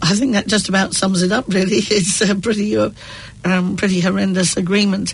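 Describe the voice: Vocal fry at a fairly quick pace, with fairly even intonation. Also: woman, medium pitch for a woman.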